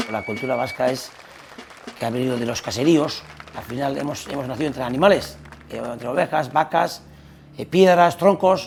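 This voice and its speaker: A man with a Basque accent and fairly high pitch speaks at a moderate pace with ordinary pitch variation, long, frequent pauses and big swings in loudness, while crowd noise fills the background. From Basque Country, Spain. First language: Basque (speaking Spanish). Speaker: strongman athlete. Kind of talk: documentary interview.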